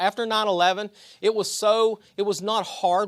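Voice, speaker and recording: On a very clean recording with a silent background, a man talks at a fairly slow pace with a West Virginia accent. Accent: noticeable West Virginia. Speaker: army veteran. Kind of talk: public speech.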